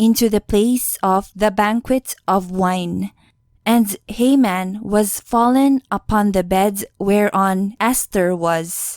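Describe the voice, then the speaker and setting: Very slow speech with a non-native accent and fairly even intonation, dry and close with no echo, on a very clean recording with a silent background. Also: woman. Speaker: audiobook narrator. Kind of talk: scripture reading.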